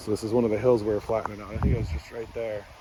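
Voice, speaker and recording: A man with a fairly low-pitched voice talks over noticeable background noise. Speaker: rural homesteader vlogger. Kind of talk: casual walkaround vlog. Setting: outdoors.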